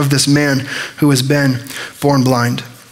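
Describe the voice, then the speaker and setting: A man with a fairly high voice. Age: 20s. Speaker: pastor. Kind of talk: sermon. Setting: church. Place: church. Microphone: headset.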